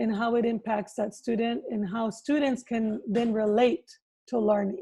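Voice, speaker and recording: A woman with a Spanish accent talks fairly slowly in a dark, mellow tone at a fairly high pitch. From Mexico. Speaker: school superintendent. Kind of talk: interview. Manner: hesitant with fillers.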